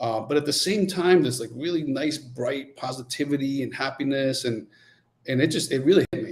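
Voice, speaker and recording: A man speaks in a Spanish accent at a fairly high pitch. His pitch varies in an ordinary way. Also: fairly quick pace. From Nicaragua, then US. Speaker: coffee company founder. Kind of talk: podcast interview.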